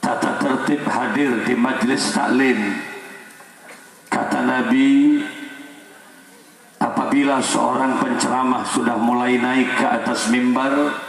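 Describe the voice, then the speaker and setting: Audible room echo and noticeable background noise surround a man's voice. He speaks at a very slow pace, with very even loudness and long, frequent pauses. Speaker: Islamic preacher. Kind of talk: sermon.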